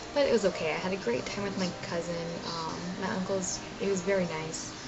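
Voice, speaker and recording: A woman talks at a fairly quick pace amid audible room echo and noticeable background noise. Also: medium pitch for a woman, ordinary pitch variation. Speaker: vlogger sharing personal anxiety story. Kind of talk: personal vlog monologue. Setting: at home in bedroom. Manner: soft-spoken; hesitant, many fillers.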